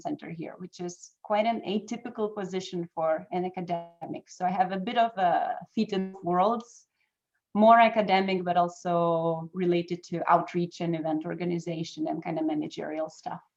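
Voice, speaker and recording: A woman's medium-pitched voice at a moderate pace, fairly even in intonation, with music in the background. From Lithuania. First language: Lithuanian. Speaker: academic researcher. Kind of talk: interview.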